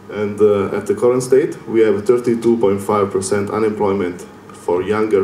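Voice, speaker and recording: The speaker has an Italian accent and a moderate pace. Audible room echo and noticeable background noise fill the recording. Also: man. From Italy. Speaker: lecturer. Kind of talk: lecture. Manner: hesitant with fillers.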